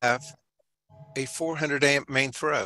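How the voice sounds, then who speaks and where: With a Southern US accent, a man speaks at a moderate pace and a fairly high pitch. His tone is bright and sharp, with ordinary pitch variation. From Georgia, US South. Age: 60s. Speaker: home inspector and presenter. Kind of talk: webinar presentation. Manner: casual, halting.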